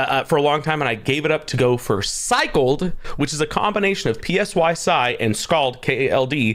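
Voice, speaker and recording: With lively intonation and an animated tone, a man speaks at a fairly high pitch. His pace is fairly quick, and there is noticeable background noise. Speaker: gaming streamer interviewer. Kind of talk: livestream interview. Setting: live stream. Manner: loud.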